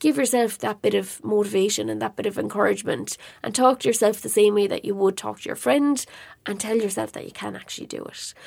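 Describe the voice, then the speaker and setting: A woman talks at a very fast pace with an Irish accent. Her loudness swings widely. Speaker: podcast host and online marketing educator. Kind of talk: solo podcast monologue. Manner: casual, conversational.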